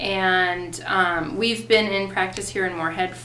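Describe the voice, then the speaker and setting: A woman with a Minnesotan accent talks at a fairly slow pace and medium pitch. Audible room echo and noticeable background noise surround her voice. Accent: Minnesota. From US Upper Midwest, Fargo, North Dakota. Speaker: acupuncturist. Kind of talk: interview answers. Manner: casual, many filler ums.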